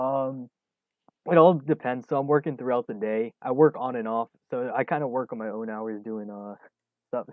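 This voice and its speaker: A man has an unremarkable speaking voice with a medium pitch. He keeps a moderate pace and ordinary pitch variation. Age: 20s. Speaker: day trading streamer. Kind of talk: live stream commentary and chat Q&A. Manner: casual, many fillers.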